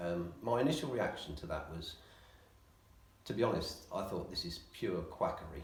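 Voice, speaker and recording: The voice moves at a moderate pace with very wide pitch swings and long, frequent pauses. Noticeable background noise and audible room echo fill the recording. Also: man, very deep, low pitch for a man. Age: 60s. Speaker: physiotherapy patient. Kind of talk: interview. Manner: hesitant, many ums.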